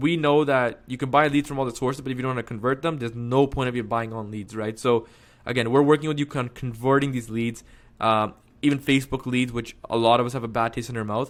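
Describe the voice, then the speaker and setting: A man talking at a very fast pace with fairly even intonation, on a very clean recording with a silent background. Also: medium pitch for a man. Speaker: real estate marketing coach. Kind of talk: sales pitch tutorial. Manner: casual, filler-heavy.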